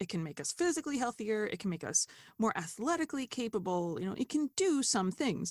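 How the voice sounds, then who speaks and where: A somewhat breathy woman with an American accent at a fairly quick pace, fairly high in pitch with very wide swings, in a very clean, silent, dry and close recording with no echo. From United States. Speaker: dietitian. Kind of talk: interview conversation.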